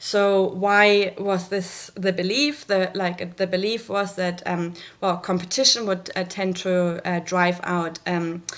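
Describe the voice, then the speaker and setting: A woman with a German accent speaks very slowly at a medium pitch, with fairly even intonation and hardly any pauses. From Germany. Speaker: researcher. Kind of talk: conference presentation. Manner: halting, many fillers.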